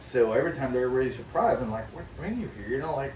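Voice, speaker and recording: A man talks at a very fast pace with very wide pitch swings, while noticeable background noise and audible room echo surround him. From France. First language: French. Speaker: hunting guide. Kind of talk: casual chat. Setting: outdoors on a back porch.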